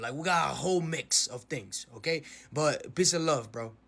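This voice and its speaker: With a Spanish accent, a man speaks in a fairly high pitch at a moderate pace, with ordinary pitch variation. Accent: Spanish accent, noticeable. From Dominican Republic. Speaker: social media commentator. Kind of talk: casual explanation to camera.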